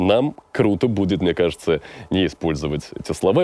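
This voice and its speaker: Dark, mellow tone from a man. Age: 20s. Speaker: rapper and voice-over announcer. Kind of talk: casual interview chat.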